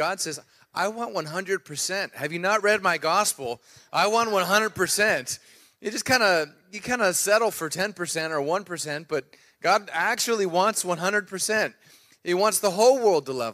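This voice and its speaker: Speaking at a fairly slow pace in a raised, projected voice, a man has a bright, sharp tone and ordinary pitch variation against a quiet background. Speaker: guest preacher. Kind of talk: sermon. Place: church.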